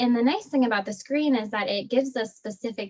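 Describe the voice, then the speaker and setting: A woman speaks with a somewhat breathy voice and ordinary pitch variation. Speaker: pelvic floor physical therapist. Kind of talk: online talk with Q&A. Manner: fast; casual, filler-heavy.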